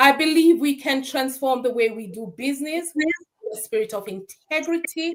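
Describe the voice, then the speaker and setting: Speaking at a fairly slow pace, a woman lets her pitch swing very widely. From Jamaica, Saint Ann parish. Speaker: certified bookkeeper and financial strategist. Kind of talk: interview conversation.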